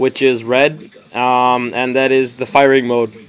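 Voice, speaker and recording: Noticeable background noise behind a man's voice at medium pitch. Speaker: paintball hobbyist video maker. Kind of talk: tutorial. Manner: fast; casual, hesitant with many ums.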